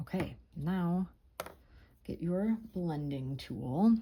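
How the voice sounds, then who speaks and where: There is a dark, mellow tone to this woman's somewhat breathy voice. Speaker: art tutorial creator. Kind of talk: tutorial. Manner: calm; soft-spoken.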